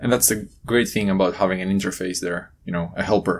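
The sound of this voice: A man speaks at a low pitch with fairly even intonation.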